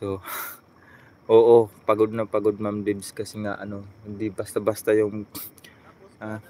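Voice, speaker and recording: Delivered at a fairly slow pace, the speech is monotone and flat, broken by long, frequent pauses and marked by big swings in loudness. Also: man, fairly low pitch for a man. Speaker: vlogger. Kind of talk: live stream chat.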